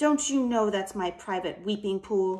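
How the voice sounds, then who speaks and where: Putting on a character voice, a woman talks at a medium pitch and a moderate pace. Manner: angry.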